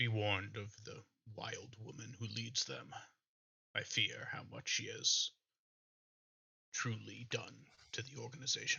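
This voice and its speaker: A man puts on a character voice at a medium pitch. He keeps a moderate pace, broken by long, frequent pauses. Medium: actual play. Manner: formal, commanding.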